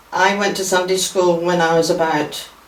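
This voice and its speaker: Over noticeable background noise and audible room echo, a woman with a fairly low voice speaks at a fairly slow pace. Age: 80s. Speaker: church member sharing memories. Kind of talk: reminiscence interview.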